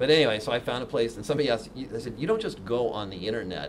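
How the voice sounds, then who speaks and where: With an American accent and a fairly low pitch, a man speaks very fast amid noticeable background noise. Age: 60s. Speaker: software developer and keynote speaker; keynote speaker. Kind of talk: keynote talk. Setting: stage with audience. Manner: animated. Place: meeting room.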